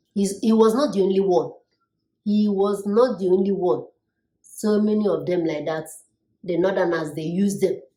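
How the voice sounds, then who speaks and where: A woman's dark, mellow voice at medium pitch, moderate pace and ordinary pitch variation, with long, frequent pauses and audible room echo. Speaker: YouTube vlogger. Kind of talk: political commentary vlog. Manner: loud, raised tone.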